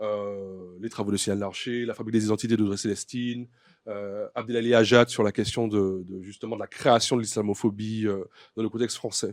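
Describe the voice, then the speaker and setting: A man's fairly low, monotone voice with flat intonation on a very clean recording with a silent background. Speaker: writer and doctoral researcher. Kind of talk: conference talk. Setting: conference with audience. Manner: fast; hesitant, many fillers.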